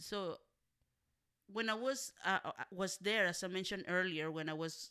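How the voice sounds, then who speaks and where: Speaking at a fairly slow pace with a Spanish accent, a woman has a bright, sharp tone and ordinary pitch variation on a very clean recording with a silent background. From Mexico, Monterrey, Nuevo León. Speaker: community organizer. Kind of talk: interview.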